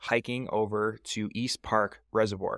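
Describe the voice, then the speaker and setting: Speaking at a fairly slow pace, a man sounds dry with no echo. The background is quiet. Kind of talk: tutorial. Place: home room. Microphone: studio mic.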